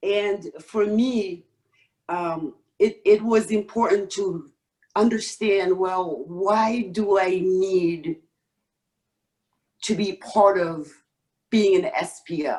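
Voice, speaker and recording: Speaking very slowly with long, frequent pauses, a woman with a Senegalese accent has a medium pitch and a dark, mellow tone. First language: Wolof. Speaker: stake pool operator, real estate professional. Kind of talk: podcast interview. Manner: halting, many fillers.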